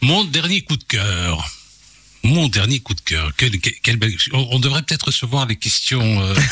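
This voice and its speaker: A man's medium-pitched voice at a fairly slow pace, with very wide pitch swings and very even loudness. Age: 50s. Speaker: journalist and radio host. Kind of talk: radio interview. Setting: radio studio.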